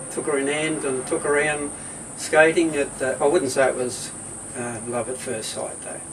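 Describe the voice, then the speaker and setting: A man with an Australian accent talks at a moderate pace in a fairly high pitch for a man, with noticeable background noise behind him. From Australia, Hobart (Tasmania). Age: 80s+. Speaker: retired husband interviewed at home. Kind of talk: casual interview. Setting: at home.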